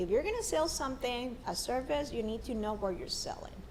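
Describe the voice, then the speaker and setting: A woman talks at a fairly high pitch. Audible room echo surrounds her voice. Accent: strong Mexican. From northern Mexico, Monterrey. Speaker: marketer and construction sales professional. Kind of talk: casual interview chat. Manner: animated, halting with repetitions.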